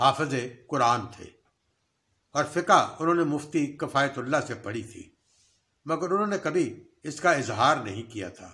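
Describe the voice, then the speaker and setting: A man with a fairly high pitch and a bright, sharp tone speaks very slowly, with long, frequent pauses and big swings in loudness. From Pakistan, Lahore; Pakistan. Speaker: YouTube storyteller, former radio staffer. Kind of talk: storytelling narration. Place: home room. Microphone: webcam.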